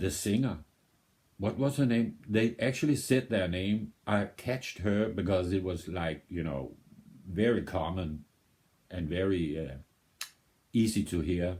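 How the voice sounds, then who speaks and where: A man with a Danish accent speaks with a very deep, low pitch and a dark, mellow tone. His fairly slow delivery has lively intonation and long, frequent pauses. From Denmark. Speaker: music video reactor. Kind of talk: casual reaction commentary. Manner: halting, with many repetitions and fillers.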